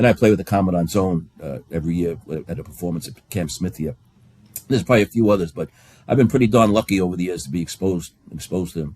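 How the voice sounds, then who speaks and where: In a New York accent, a man speaks at a very fast pace with a very deep, low pitch and ordinary pitch variation. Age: 70s. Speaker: bagpiper. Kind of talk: casual chat. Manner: halting.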